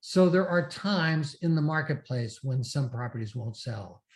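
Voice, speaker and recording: Fairly high, somewhat breathy male voice on a very clean recording with a silent background. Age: 70s. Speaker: real estate investor and seminar speaker. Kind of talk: interview.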